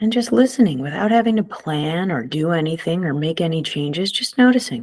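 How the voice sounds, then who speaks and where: Her voice sits at a fairly low pitch for a woman and moves through very wide pitch swings. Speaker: meditation guide. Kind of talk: guided meditation. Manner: slow, soft-spoken.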